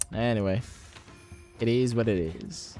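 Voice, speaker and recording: A man talks at a very slow pace with a medium pitch. Music plays in the background. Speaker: gaming streamer. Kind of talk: live gameplay commentary. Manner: quiet, holding voice down.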